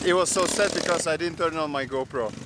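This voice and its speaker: The voice moves at a moderate pace with ordinary pitch variation. The sound is dry with no echo, and noticeable background noise is present. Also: man. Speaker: vlogger. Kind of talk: casual vlog chat. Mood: cheerful, laughing. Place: forest. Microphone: phone near.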